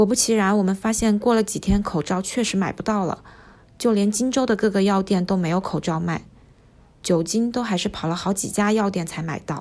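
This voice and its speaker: The speaker has a plain, everyday voice with ordinary pitch variation. The pace is fairly quick. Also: woman, medium pitch for a woman. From Wuhan, China. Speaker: medical company employee and diary contributor. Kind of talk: reading a personal diary aloud.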